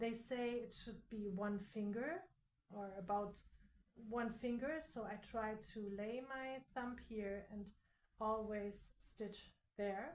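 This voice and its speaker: A woman with a non-native accent talks at a very slow pace in a fairly high voice. Her speech has long, frequent pauses. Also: ordinary pitch variation. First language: not English. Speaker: quilting content creator. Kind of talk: tutorial. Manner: halting.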